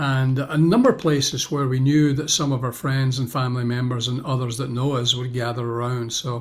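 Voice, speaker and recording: A man speaks at a fairly quick pace in a medium pitch, somewhat breathy. His intonation stays fairly even. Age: 70s. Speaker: pastor and author. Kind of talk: interview answer.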